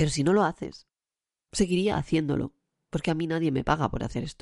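A woman speaks at a very fast pace in a very deep, low voice, with long, frequent pauses, fairly even intonation, and a dry, close sound with no echo. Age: 40s. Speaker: podcaster. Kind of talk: personal monologue. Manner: halting.

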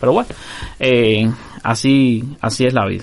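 Noticeable background noise can be heard. A man talks over it. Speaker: podcast host. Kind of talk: casual chat.

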